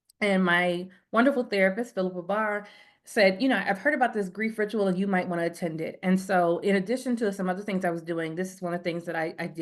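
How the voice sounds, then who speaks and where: Against a quiet background, a woman talks at a very fast pace with a medium pitch and ordinary pitch variation. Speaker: counseling psychologist. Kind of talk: webinar presentation. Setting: video call webinar.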